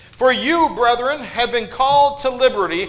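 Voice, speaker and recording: Pitch moves in an ordinary way, with noticeable background noise and audible room echo. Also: man. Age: 40s. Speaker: preacher. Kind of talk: sermon. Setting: church.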